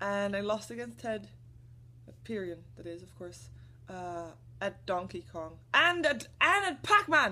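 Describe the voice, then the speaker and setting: A woman speaks at a fairly slow pace in a bright, sharp tone. Her medium-pitched voice makes very wide pitch swings. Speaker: gaming commentator vlogger. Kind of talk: casual vlog. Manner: animated.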